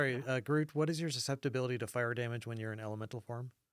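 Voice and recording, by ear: Pitch variation stays ordinary. The voice reads aloud naturally.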